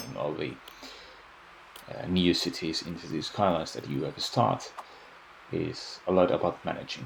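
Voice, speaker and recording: A man with a non-native accent and a very deep, low pitch talks at a moderate pace with ordinary pitch variation amid noticeable background noise. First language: Finnish. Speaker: video game YouTuber. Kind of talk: gameplay voice-over commentary. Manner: halting, many fillers and repeats.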